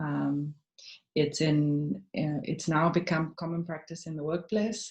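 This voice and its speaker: Very slow and calm, the voice is somewhat breathy with a dark, mellow tone. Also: woman. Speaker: webinar moderator. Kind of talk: panel discussion. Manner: calm, slowed after breathing exercise.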